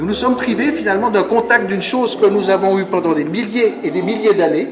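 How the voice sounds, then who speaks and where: A man's high-pitched voice, with audible room echo and noticeable background noise. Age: 60s. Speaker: conference speaker. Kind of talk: lecture. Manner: halting.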